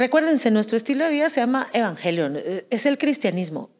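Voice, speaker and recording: Her voice is high-pitched and animated, and this woman keeps a moderate pace. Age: 40s. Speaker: podcast co-host. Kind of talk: casual chat.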